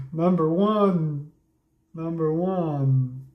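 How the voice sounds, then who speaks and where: A man speaks with a dark, mellow tone and fairly even intonation, somewhat breathy. Audible room echo surrounds his voice. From Transylvania, Romania (ethnic Hungarian). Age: 40s. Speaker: livestreamer. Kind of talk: casual livestream chat.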